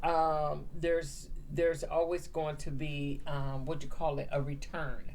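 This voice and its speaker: A woman with an American accent speaks fairly slowly in a very deep, low voice and a monotone, flat intonation. Noticeable background noise and audible room echo fill the recording. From Southern California. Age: 50s. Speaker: business owner. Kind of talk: interview. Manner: hesitant, with fillers.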